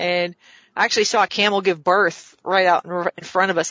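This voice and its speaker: Speaking at a fairly quick pace with an American accent, a woman uses an unremarkable speaking voice at medium pitch. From US South. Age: 50s. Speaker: real estate developer. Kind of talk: casual interview.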